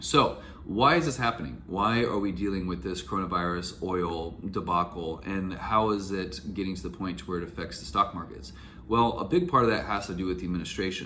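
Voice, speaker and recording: Audible room echo surrounds a man's voice. He speaks very deep and low at a fairly quick pace. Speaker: YouTuber, real estate investor and Airbnb host advisor. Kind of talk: casual vlog commentary.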